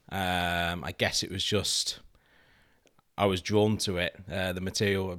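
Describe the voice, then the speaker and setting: A man's very deep, low voice, bright and sharp in tone, monotone and flat, at a fairly slow pace with long, frequent pauses, in a very clean recording with a silent background. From Lincolnshire, England. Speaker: bicycle frame designer and company co-founder. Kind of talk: casual interview.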